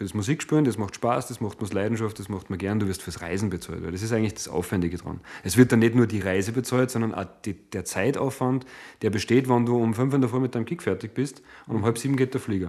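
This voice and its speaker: A man at a very fast pace on a very clean recording with a silent background. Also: medium pitch for a man, ordinary pitch variation. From Austria, Salzburg. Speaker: DJ and music producer. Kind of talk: casual chat.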